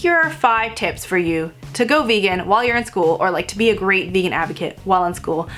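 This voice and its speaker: Over noticeable background noise, a woman talks at a very fast pace with a medium pitch. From Vietnamese heritage. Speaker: vegan food blogger. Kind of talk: casual talk to camera. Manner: loud.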